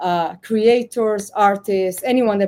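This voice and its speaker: A woman with a Portuguese accent talks in a dark, mellow tone. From Brazil. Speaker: AI governance newsletter host. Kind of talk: interview talk. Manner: halting, many repetitions.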